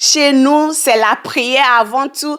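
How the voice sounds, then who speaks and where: At a very slow pace, a woman speaks with a high pitch and ordinary pitch variation. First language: English (speaking French). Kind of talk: teaching monologue. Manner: hesitant.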